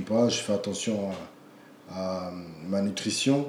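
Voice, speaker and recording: Audible room echo surrounds a man who speaks with ordinary pitch variation. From France. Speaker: kickboxing champion and coach. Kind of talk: interview conversation. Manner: halting, repeats words.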